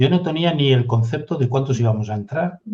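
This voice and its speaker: A man's somewhat breathy voice at medium pitch, dark and mellow in tone, with ordinary pitch variation and a moderate pace. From Galicia, Spain (Redondela). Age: 60s. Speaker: retired navy officer. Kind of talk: interview.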